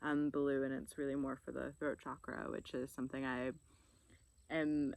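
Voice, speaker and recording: In a relaxed tone, a woman with a very deep, low pitch speaks at a fairly slow pace with monotone, flat intonation and long, frequent pauses, on a very clean recording with a silent background. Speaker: vlogger. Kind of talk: casual vlog monologue. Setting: outdoors by a lake. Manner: relaxed, reflective.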